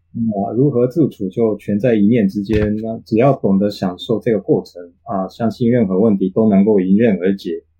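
A man talks with fairly even intonation. He hardly pauses at all. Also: fairly low pitch for a man, moderate pace. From Japan. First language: Japanese (speaking Chinese). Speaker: interview guest, Japanese father in a bilingual family. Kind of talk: casual interview chat. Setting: online call.

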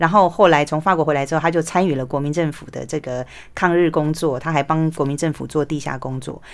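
A woman talks at a very fast pace with a very deep, low pitch. Her intonation stays fairly even while her loudness swings widely. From Taiwan. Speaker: author and former journalist. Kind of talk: interview. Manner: hesitant fillers.

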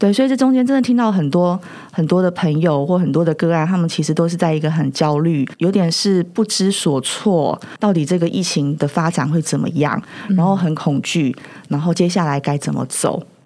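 There is noticeable background noise behind a woman's fairly low voice. She keeps a moderate pace and very even loudness. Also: ordinary pitch variation. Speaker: counseling psychologist. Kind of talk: casual interview chat.

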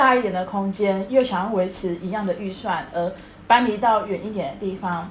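In a room with audible echo, a woman with a Taiwanese accent talks at a moderate pace, with medium pitch and ordinary pitch variation. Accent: Taiwanese Mandarin. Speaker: podcast co-host. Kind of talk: casual chat.

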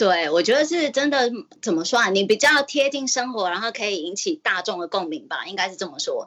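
A woman talks at a fairly quick pace with a fairly high pitch. Her voice has very wide pitch swings and big swings in loudness. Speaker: caller. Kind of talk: casual chat.

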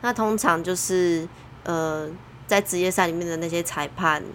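An unremarkable speaking voice from a woman, fairly low in pitch, with ordinary pitch variation and a fairly slow pace. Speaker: surf judge. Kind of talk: casual chat.

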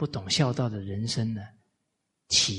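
A man's bright, sharp tone with fairly even intonation, amid audible room echo. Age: 40s. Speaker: lecturer on Confucian classics. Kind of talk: lecture. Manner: frequent filler particles.

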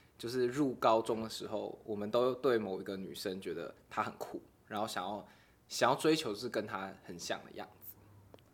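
Big swings in loudness mark a man's plain, everyday voice, pitched medium with ordinary pitch variation. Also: moderate pace. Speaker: podcast guest. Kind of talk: casual chat.

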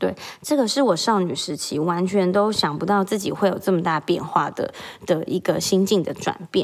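At a moderate pace, a woman talks at a medium pitch with ordinary pitch variation over noticeable background noise. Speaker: podcast host, mother. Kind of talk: solo casual monologue. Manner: animated.

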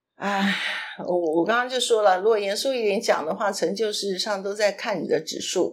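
A normal speaking voice, ordinary pitch variation, and a moderate pace. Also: woman, medium pitch for a woman. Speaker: podcast co-host. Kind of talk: casual chat.

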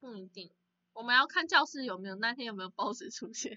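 A woman in an ordinary speaking voice talks at a fairly quick pace, with lively intonation and a fairly high pitch. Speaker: podcast co-host. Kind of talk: casual chat. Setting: video call. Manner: frequent laughter.

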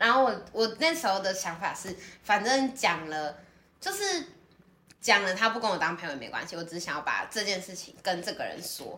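Audible room echo and noticeable background noise surround a woman speaking at a fairly quick pace. Her pitch swings very widely and her loudness shifts a lot. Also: medium pitch for a woman. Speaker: podcast co-host, student. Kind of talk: casual chat.

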